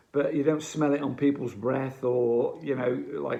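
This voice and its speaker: A man speaks with an English accent at a medium pitch. His intonation is fairly even. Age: 60s. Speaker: addiction recovery advocate. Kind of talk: advice monologue to camera. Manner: halting.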